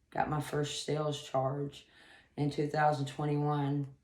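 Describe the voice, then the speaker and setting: Audible room echo surrounds a woman whose very deep, low voice moves at a fairly slow pace. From US South, Atlanta. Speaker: rehab client. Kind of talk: testimony. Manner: halting, many fillers.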